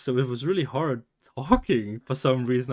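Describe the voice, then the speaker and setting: Talking at a fairly quick pace in a Danish accent, a man holds a medium pitch with ordinary pitch variation. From Denmark. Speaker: streamer. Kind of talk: casual live stream chat. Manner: halting, repeats words.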